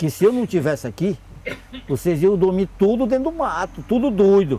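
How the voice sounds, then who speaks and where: A man's voice with very wide pitch swings. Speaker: elderly riverside resident storyteller. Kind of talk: interview answer, folk tale telling.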